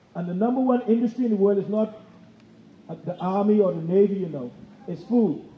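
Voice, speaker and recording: A man speaks fairly quickly in a high pitch with ordinary pitch variation. Noticeable background noise runs underneath. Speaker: government gardening program head. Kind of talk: talk.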